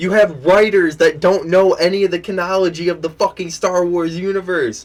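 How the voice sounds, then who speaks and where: Shouting loudly at a moderate pace, a man with a high pitch keeps his intonation fairly even. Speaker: YouTube commentator. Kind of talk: angry reaction rant. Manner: loud, yelling.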